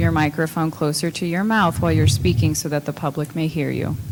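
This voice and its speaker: Soft-spoken, a woman talks at a fairly quick pace with a very deep, low pitch that swings very widely. Background noise is noticeable. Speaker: council chair. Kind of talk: formal meeting.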